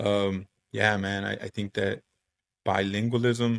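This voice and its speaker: A man at a very slow pace, monotone and flat, with a dry, close sound and no echo. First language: Spanish. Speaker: high school Spanish teacher. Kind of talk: casual chat.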